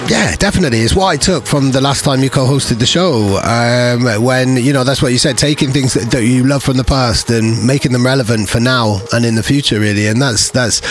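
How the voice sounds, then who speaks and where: Over music in the background, a man speaks at a fairly quick pace and medium pitch with ordinary pitch variation. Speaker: radio host. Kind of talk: radio DJ patter, upbeat show hosting. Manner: animated; repetitive, enthusiastic.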